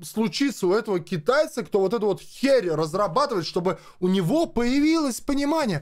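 His tone is animated. The man's pitch swings very widely. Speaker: gaming video blogger. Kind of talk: angry rant to camera. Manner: animated, agitated.

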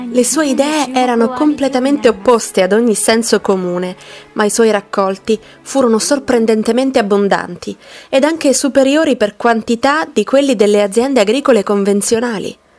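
Music plays in the background as a woman speaks at a fairly high pitch. Her pace is moderate, her pitch variation ordinary, and her loudness very even. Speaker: narrator. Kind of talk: documentary narration.

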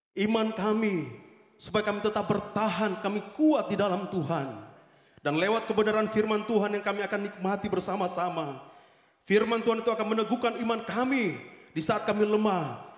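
High pitch for a man, ordinary pitch variation, and audible room echo. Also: fairly quick pace. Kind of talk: public prayer. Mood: fervent, earnest. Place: church. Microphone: handheld.

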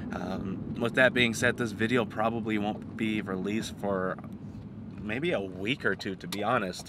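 The voice moves at a moderate pace with ordinary pitch variation. The sound is dry with no echo, though noticeable background noise is present. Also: man. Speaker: car vlogger. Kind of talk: casual vlog chat. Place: car. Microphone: phone near.

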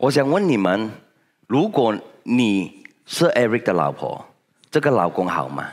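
Over a quiet background, a man with vocal fry speaks at a fairly slow pace, with very wide pitch swings and long, frequent pauses. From Malaysia. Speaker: senior direct-sales leader; motivational speaker. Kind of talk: motivational talk. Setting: stage with audience. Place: hall. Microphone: headset.

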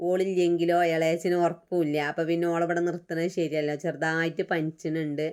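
A woman's flat, monotone delivery, fairly low in pitch, at very even loudness, in a Malappuram accent. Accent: Malappuram Malayalam dialect. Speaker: vlogger. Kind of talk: casual vlog narration.

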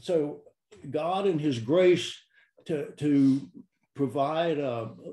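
A man speaks in a dark, mellow tone with ordinary pitch variation, and there is audible room echo. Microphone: video call.

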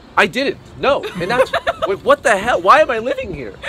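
A man talks at a fairly quick pace with faint music in the background. The sound is dry, with no echo. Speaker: vlogger. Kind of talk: casual vlog chat. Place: street. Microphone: phone near.

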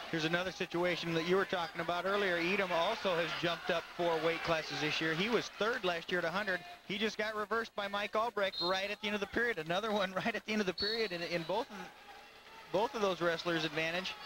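A man's high, raised, projected voice, animated and very fast, against noticeable background noise. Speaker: color commentator. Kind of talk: live sports commentary. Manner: animated, quick calls of takedowns and reversals.

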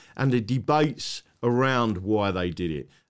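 Speaking with an English accent, a man is heard over a quiet background. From England. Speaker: online talk show host. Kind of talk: casual interview. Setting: live stream with remote guest. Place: home room. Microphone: studio mic.

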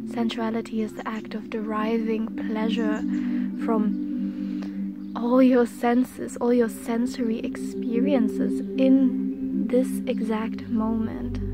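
A woman speaks at a very slow pace over loud background noise. The sound is dry, with no echo. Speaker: reiki practitioner / energy healer. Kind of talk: ASMR reiki healing guided meditation. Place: garden. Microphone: phone near.

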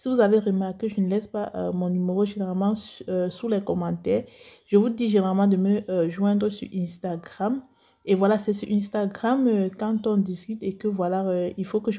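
With rather level intonation and a dark, mellow tone, a woman talks in a mid-range pitch. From Cameroon. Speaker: beauty youtuber, cosmetics seller. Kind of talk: vlog talk to viewers. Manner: slow; calm, measured.

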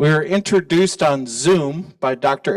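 A man's fairly slow speech plays out over a quiet background. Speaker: museum host. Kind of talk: event introduction speech. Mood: warm, conversational. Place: hall.

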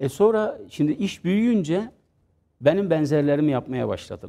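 Using very wide pitch swings at a moderate pace, a man with a fairly high voice and a dark, mellow tone speaks. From Adana, southern Turkey; southern Turkey. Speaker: pastry business founder; interview guest. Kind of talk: interview. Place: studio. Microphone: lapel.

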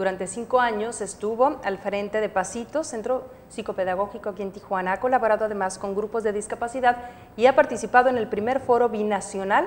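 With fairly even intonation, the woman keeps a fairly quick pace. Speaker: TV show co-host. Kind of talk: host introducing guests. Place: studio.

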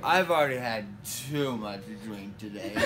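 Over loud background noise, a man talks at a very slow pace with ordinary pitch variation. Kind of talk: casual drowsy chat. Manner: slurred, groggy post-anesthesia speech. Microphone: phone near.

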